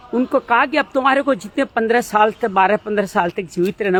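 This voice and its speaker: The speaker uses lively intonation. Noticeable background noise is present. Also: man. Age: 50s. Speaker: spiritual life talk host. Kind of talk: reflective monologue. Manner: hesitant with filler sounds.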